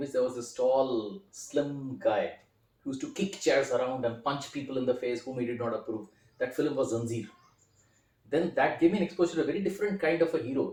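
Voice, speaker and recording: A man with an Indian accent, fairly quick pace and lively intonation. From India, Kolkata (Calcutta). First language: Hindi. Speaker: film critic and writer. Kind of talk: interview.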